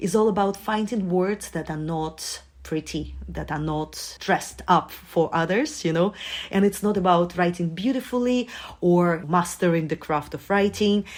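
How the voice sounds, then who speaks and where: A Russian accent at a moderate pace with ordinary pitch variation, on a very clean recording with a silent background. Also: woman. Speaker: journalist and journaling guide. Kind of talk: casual interview chat.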